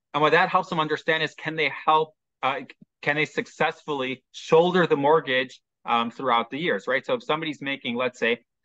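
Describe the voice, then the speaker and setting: This man has a fairly high pitch and a Chicago accent. He talks at a fairly quick pace with ordinary pitch variation. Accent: American, Chicago. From US Midwest, Chicago. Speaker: mortgage specialist. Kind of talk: interview, explaining.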